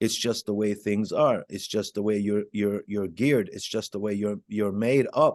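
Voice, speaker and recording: Over a quiet background, a man with an Arabic accent speaks at a fairly low pitch in a monotone, flat way with hardly any pauses, the sound dry and close with no echo. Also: moderate pace. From Jerusalem, Palestine; moved to Chicago at 12. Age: 50s. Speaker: author and former gang member. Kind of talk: interview testimony. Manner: hesitant with many fillers and repetitions.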